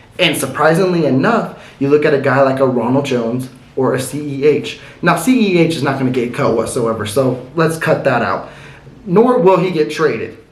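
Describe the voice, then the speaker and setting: With an American accent and lively intonation, a man speaks at a fairly high pitch amid noticeable background noise and audible room echo. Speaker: sports commentary youtuber. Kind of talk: casual sports commentary monologue. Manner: fast.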